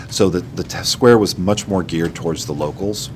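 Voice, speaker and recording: Over noticeable background noise, a man with an American accent speaks with lively intonation. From Bloomington, Indiana (US Midwest). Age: 40s. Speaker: high school teacher. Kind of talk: interview.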